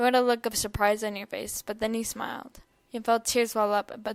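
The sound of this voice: Simply an unforced reading voice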